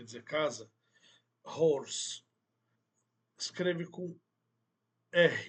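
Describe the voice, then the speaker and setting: A high-pitched man with an Arabic accent, very slow, with long, frequent pauses and ordinary pitch variation. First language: Arabic (speaking Portuguese). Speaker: Arabic language teacher. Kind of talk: online language lesson.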